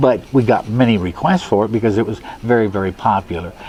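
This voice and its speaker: Noticeable background noise behind a man speaking fairly low, with ordinary pitch movement and a moderate tempo. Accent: American. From US Midwest, South Omaha, Nebraska. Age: 70s. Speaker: musician and bandleader. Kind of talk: oral history interview. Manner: halting, with many fillers.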